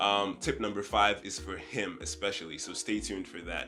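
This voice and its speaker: Music plays in the background as someone talks at a moderate pace. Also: man. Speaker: tech YouTuber. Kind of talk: casual talk to camera.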